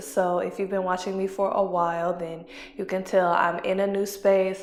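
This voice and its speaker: The speaker is soft-spoken with a monotone, flat intonation. The pace is moderate. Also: woman, medium pitch for a woman. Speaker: yoga instructor. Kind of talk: casual talk to camera.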